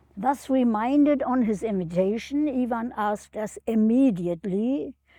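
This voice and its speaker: At a fairly slow pace, a speaker with a non-native accent and a dark, mellow tone is heard on a very clean recording with a silent background. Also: woman. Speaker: retired professor of education. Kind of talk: prepared remarks read in an interview. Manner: halting.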